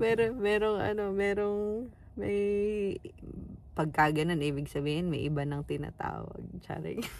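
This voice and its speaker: Audible room echo carries a woman's fairly low-pitched voice as she speaks at a moderate pace with lively intonation and long, frequent pauses. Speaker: family vlogger. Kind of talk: casual vlog. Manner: soft-spoken.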